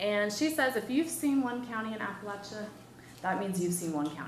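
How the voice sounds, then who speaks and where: Against noticeable background noise and audible room echo, a woman with an American accent speaks at a fairly high pitch with lively intonation. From Wisconsin. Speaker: professor. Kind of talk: lecture. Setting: seminar with audience. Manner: casual, conversational with fillers.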